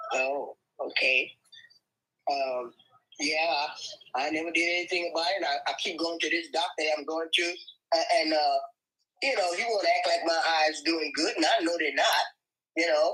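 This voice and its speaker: Her voice is fairly low for a woman, with a bright, sharp tone and ordinary pitch variation. She keeps a moderate pace but leaves long, frequent pauses. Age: 70s. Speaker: caller with eye problems. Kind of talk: live Q&A call. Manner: halting, repetitive.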